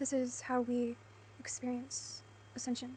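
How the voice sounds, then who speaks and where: Against noticeable background noise, a soft-spoken woman talks. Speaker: spiritual content creator. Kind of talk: spiritual monologue to camera.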